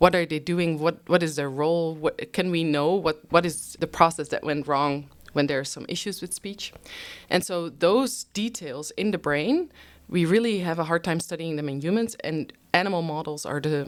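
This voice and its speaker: A woman with a Dutch accent and a fairly low voice, big swings in loudness, on a very clean recording with a silent background. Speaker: neuroscientist. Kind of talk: interview. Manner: frequent fillers (um, uh).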